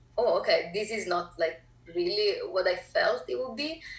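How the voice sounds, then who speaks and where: A woman talks with an Italian accent. Her pace is moderate. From Italy, Naples. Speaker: filmmaker. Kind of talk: interview.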